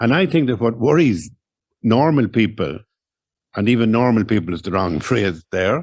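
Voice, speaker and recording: On a very clean recording with a silent background, a man with an Irish accent speaks at a medium pitch and moderate pace, using lively intonation and long, frequent pauses. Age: 60s. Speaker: writer. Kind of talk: public conversation.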